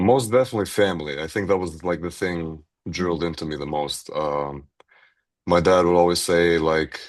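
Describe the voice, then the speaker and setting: Against a quiet background, the speaker talks at a moderate pace with fairly even intonation and a slight Albanian accent. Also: man. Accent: slight Albanian-tinged. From Grand Rapids, Michigan, Albanian community. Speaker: university student. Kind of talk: podcast interview.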